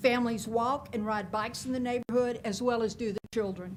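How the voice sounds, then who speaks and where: A woman with a Louisiana accent talks at a fairly high pitch with fairly even intonation. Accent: southern US (Louisiana). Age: 60s. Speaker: public commenter, retired teacher. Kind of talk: prepared public comment read from notes. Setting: public meeting.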